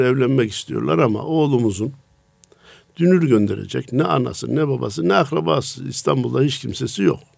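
A man at a medium pitch, in a normal speaking voice. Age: 60s. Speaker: preacher. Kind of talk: religious radio talk.

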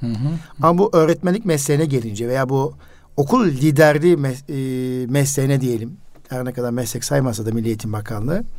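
A man with an unremarkable speaking voice talks at medium pitch. His intonation is lively and his pace fairly quick. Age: 50s. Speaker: radio host and educator. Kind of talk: casual radio interview.

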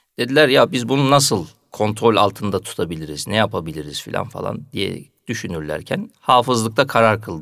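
At a fairly slow pace, a man uses an ordinary speaking voice with lively intonation. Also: very clean recording, silent background. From Turkey, Karamürsel (Kocaeli). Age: 40s. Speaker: mosque muezzin. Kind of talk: radio interview. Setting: studio.

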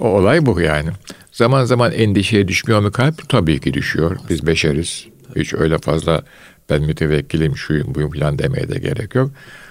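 The speaker keeps a moderate pace. Their pitch rises and falls very widely. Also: man, very deep, low pitch for a man. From Istanbul, Turkey (Fatih). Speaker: retired scholar. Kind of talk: casual chat.

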